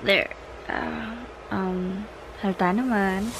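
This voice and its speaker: Noticeable noise runs behind a woman as she talks. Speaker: vlogger. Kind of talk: casual vlog chat. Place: home room. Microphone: phone near.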